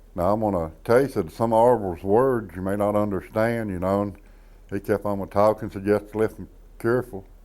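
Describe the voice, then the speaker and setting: At a fairly quick pace, a man with an Appalachian accent speaks in a fairly low pitch and a dark, mellow tone with fairly even intonation. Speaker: storyteller. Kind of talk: interview anecdote.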